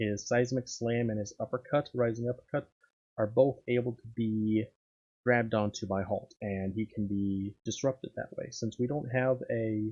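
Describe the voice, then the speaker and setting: A soft-spoken man talks at a moderate pace and medium pitch in a dark, mellow tone with fairly even intonation. The sound is dry and close with no echo. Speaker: gaming commentator. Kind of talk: gameplay commentary. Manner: halting.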